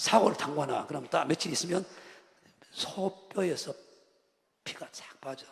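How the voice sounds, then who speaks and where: Speaking with a Jeolla accent, a man talks at a high pitch and fairly slow pace, with ordinary pitch variation, big swings in loudness and long, frequent pauses. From Jeolla region, Korea. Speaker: pastor. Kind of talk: sermon. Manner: animated.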